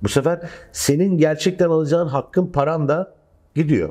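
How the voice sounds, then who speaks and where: A man talks at a fairly quick pace with a fairly high pitch and a dark, mellow tone over a quiet background. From Turkey. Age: 30s. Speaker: film director; guest. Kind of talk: casual chat. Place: studio. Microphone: lapel.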